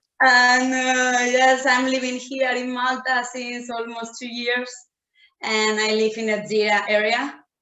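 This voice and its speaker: In a room with audible echo, a woman speaks at a fairly slow pace, her high pitch held in a monotone, flat intonation. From Spain, Madrid. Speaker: blogger. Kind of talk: casual interview.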